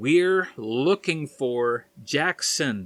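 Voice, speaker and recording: A man does a loud, put-on character voice at a medium pitch, his intonation lively. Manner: speaking slowly and too loudly.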